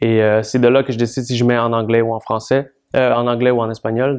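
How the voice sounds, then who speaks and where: A man with a Spanish accent at a moderate pace, monotone and flat in intonation. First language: Spanish (speaking French). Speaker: rap artist. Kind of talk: interview.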